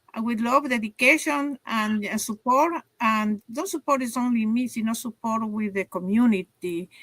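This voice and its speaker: A woman with an Ecuadorian accent talks at a moderate pace at a fairly high pitch with ordinary pitch variation, in a dry, close sound with no echo. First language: Spanish. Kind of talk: interview. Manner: halting, many fillers.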